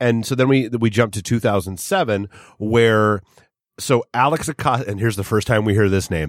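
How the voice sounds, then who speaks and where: A man with an ordinary speaking voice, fairly low pitch, ordinary pitch variation and moderate pace. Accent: American. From New Hampshire, US. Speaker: studio producer. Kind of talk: casual chat. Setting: studio.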